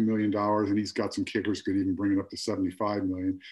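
A man against a quiet background. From Philadelphia, US. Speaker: realtor. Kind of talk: casual interview. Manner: halting, many fillers.

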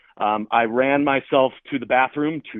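A man with a plain, everyday voice and an American accent speaks at a fairly slow pace and a medium pitch, with ordinary pitch variation. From Chicago area, US. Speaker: real estate agent. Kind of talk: storytelling in casual interview.

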